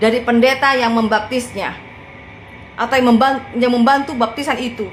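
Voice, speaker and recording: With a strong Madurese accent, a woman speaks at a high pitch and a moderate pace. Noticeable background noise can be heard. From Madura, Sampang. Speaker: evangelist preacher. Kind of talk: casual livestream talk. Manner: forceful; animated.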